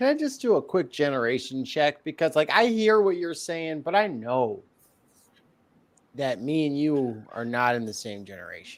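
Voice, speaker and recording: On a very clean recording with a silent background, a man's fairly high voice makes very wide pitch swings and big swings in loudness. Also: moderate pace. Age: 30s. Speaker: podcast guest. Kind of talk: casual chat. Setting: livestream.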